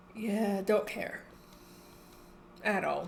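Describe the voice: Speaking very slowly, a woman uses a medium pitch with vocal fry. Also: ordinary pitch variation.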